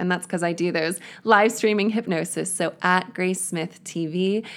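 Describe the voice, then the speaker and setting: On a very clean recording with a silent background, a woman talks in an ordinary speaking voice. Her pitch variation is ordinary. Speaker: hypnotherapist and author. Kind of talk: guided hypnosis, relaxation script; interview. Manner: slow, soothing, calm, gentle, hypnotic pacing.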